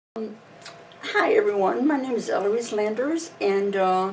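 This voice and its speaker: Amid noticeable background noise and audible room echo, a woman talks at a fairly slow pace with ordinary pitch variation. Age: 70s. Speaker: polio survivor. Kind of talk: personal testimony. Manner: hesitant, many fillers.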